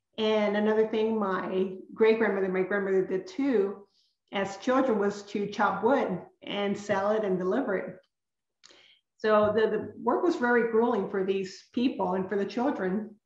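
A woman with fairly even intonation and a fairly slow pace, audible room echo, and a quiet background. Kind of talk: lecture. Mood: earnest, reflective. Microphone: webcam.

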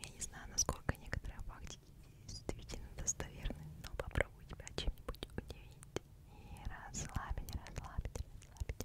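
Whispering, a soft-spoken woman talks at a moderate pace. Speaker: ASMR creator. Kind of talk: ASMR whisper, bedtime facts. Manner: close, soft ASMR whisper. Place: home room. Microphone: studio mic.

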